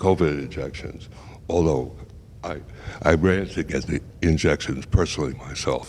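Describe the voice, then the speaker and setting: A man speaks with an American accent in a very deep, low pitch. His intonation is fairly even at a moderate pace, with long, frequent pauses. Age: 80s+. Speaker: bridge player. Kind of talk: casual interview. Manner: halting, many repetitions.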